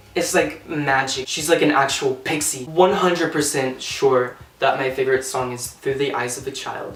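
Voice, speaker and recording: Fairly high male voice amid noticeable background noise and audible room echo. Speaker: singer and YouTuber. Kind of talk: casual vlog. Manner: halting, stuttering.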